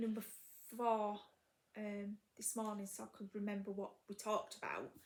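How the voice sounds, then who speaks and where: In a Yorkshire accent, a woman with a fairly high pitch speaks at a moderate pace, somewhat breathy and in a flat monotone. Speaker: crafting video host. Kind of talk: casual chat. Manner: halting, many fillers.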